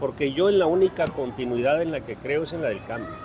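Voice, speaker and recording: A man speaks fairly quickly while noticeable background noise runs behind him. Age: 70s. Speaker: political candidate. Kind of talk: press conference. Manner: animated.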